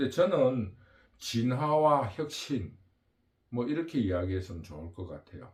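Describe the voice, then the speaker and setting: A somewhat breathy man speaks at a fairly slow pace and medium pitch. His pitch swings very widely, and his loudness shifts in big swings. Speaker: political commentary channel host. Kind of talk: political monologue. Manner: halting, with fillers.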